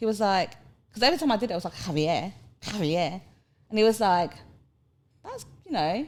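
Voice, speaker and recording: With a strong Cockney accent, a woman of medium pitch speaks in an animated tone with lively intonation at a fairly quick pace, broken by long, frequent pauses. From London, England (from Hong Kong at 10). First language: Cantonese. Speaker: podcast guest. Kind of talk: casual chat.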